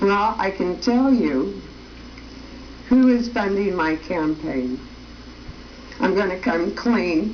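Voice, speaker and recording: A woman at medium pitch speaks at a very slow pace with lively intonation and long, frequent pauses. Noticeable background noise and audible room echo are present. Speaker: political candidate and TV show host. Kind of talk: campaign appeal on TV show. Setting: TV studio. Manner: slow, easy pace.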